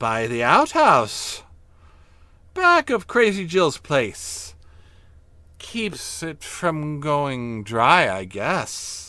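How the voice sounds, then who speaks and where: Putting on a character voice, a man speaks in a fairly high pitch at a very slow pace, with long, frequent pauses and hissing. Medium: read story. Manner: sly, knowing.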